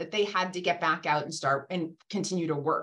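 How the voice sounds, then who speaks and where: This woman has an ordinary speaking voice with an American accent and ordinary pitch variation. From Massachusetts (Randolph, south of Boston). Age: 50s. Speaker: physician and hospital executive. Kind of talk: casual interview conversation. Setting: video call.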